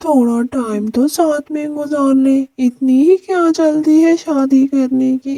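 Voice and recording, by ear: A woman speaks in a cartoonish character voice, pitched high. Her delivery is fairly slow, with hardly any pauses.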